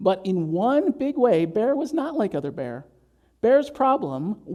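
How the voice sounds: A natural reading voice is heard here.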